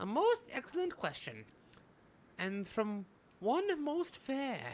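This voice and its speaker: Putting on a character voice at an extremely high pitch, a man talks at a fairly slow pace with very wide pitch swings. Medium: game stream. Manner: grandiose, archaic, refers to himself as this knight.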